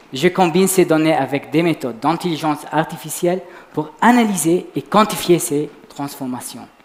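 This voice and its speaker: A man with a fairly high pitch speaks at a moderate pace with ordinary pitch variation over noticeable background noise. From Lebanon. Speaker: PhD student, science communication contestant. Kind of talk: short competitive science talk. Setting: stage with audience. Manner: quiet.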